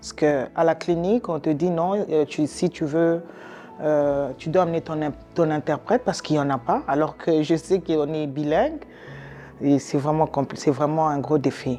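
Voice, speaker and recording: There is music in the background. Over it, a woman speaks with a very deep, low pitch. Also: ordinary pitch variation, moderate pace. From DR Congo. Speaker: immigrant patient. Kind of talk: testimony. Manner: halting.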